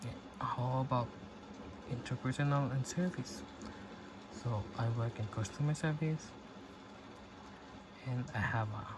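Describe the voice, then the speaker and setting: Using long, frequent pauses, a man speaks at a fairly slow pace and a medium pitch, somewhat breathy, with ordinary pitch variation. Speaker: self-help talker. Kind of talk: reflective talk. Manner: soft-spoken; halting.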